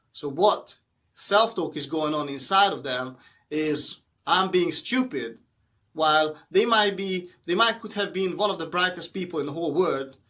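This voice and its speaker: In a very clean recording with a silent background, a man speaks at a moderate pace with a high pitch, a bright, sharp tone and ordinary pitch variation. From Hungary. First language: Hungarian. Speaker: motivational YouTuber. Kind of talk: motivational talk to camera. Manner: halting, with fillers.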